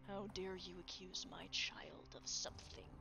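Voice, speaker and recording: A put-on character voice with hissing comes at a moderate pace. Loud background noise fills the recording. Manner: indignant, offended.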